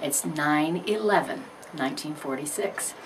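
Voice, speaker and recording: With a Midwestern US accent, a woman speaks in very wide pitch swings, with audible room echo and noticeable background noise. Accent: US Midwest. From Missouri, St. Louis. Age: 60s. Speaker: retired school principal and Air Force veteran. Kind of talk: life story interview. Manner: hesitant with frequent fillers.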